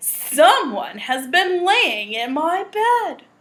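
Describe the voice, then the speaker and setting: In a put-on character voice, a woman speaks at an extremely high pitch and a very slow pace, with very wide pitch swings. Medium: read story.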